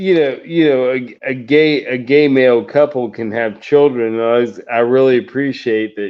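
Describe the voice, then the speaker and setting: This man has an unremarkable speaking voice, medium in pitch, with ordinary pitch variation. He talks at a moderate pace. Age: 40s. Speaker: podcast co-host. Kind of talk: casual chat.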